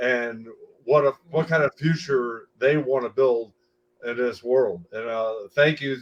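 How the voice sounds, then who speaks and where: A normal speaking voice from a man, medium in pitch, with fairly even intonation and a moderate pace. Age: 60s. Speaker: foundation spokesperson. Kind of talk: panel discussion remarks.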